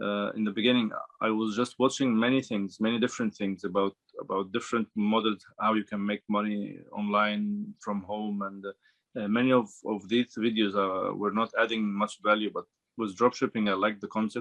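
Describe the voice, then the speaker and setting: With an Arabic accent, a man with a fairly low pitch talks at a moderate pace in a monotone, flat intonation. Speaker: dropshipping student. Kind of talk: interview. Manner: halting, many fillers and repeats.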